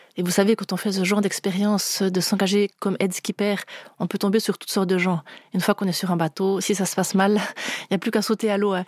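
Monotone and flat, a woman's medium-pitched voice races along at a very fast pace. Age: 40s. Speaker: guest telling her faith story. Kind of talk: testimony. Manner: halting, with repeated words.

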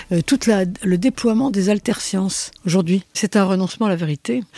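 A woman's medium-pitched voice, dark and mellow in tone, at a moderate pace with ordinary pitch variation and a dry, close sound with no echo. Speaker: philosopher and author. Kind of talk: interview.

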